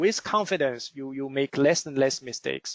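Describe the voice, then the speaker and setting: Recorded with a dry, close sound and no echo, a man speaks at a moderate pace with ordinary pitch variation. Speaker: forex trading instructor. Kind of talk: webinar lecture. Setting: online webinar. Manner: halting, many fillers.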